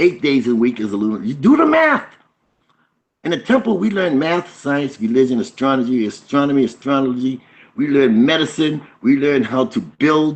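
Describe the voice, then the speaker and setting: Lively intonation at a moderate pace from a man with an ordinary speaking voice. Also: fairly high pitch for a man. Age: 60s. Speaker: spiritual teacher. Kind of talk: teaching talk on a video call.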